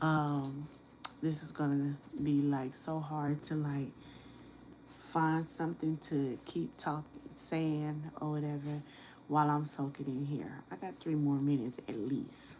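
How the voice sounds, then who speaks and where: Soft-spoken and fairly slow, a woman talks at a very deep, low pitch in a monotone, flat way, her tone dark and mellow. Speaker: nail tech. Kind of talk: live stream tutorial. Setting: live stream at home.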